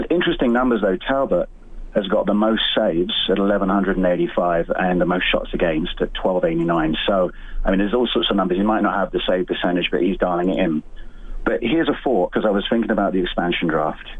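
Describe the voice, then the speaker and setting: There is noticeable background noise as a man with a fairly low pitch talks at a very even loudness. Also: ordinary pitch variation, fairly quick pace. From England. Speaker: caller. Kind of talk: phone-in call.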